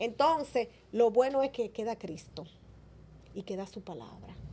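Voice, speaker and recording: Speaking fairly slowly, a woman has a fairly high pitch and a dark, mellow tone. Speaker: evangelist preacher. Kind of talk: interview with preaching. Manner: natural, conversational.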